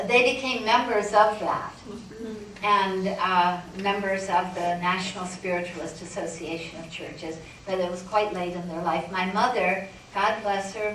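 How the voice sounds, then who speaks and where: Someone with an American accent speaks at a fairly slow pace with long, frequent pauses and big swings in loudness, amid audible room echo and noticeable background noise. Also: woman. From northern Michigan, US. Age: 70s. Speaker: spiritualist medium. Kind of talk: talk with audience Q&A. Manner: halting.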